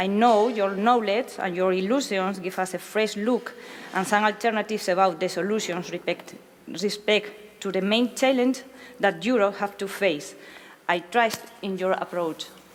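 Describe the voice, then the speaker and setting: A woman in a Spanish accent, medium pitch, moderate pace, and fairly even intonation, amid noticeable background noise. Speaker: interpreter. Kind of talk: consecutive interpreting. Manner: halting.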